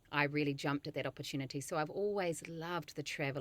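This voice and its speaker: A woman with a New Zealand accent, very deep and low in pitch, with fairly even intonation, on a very clean recording with a silent background. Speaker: nutritionist. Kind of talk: interview.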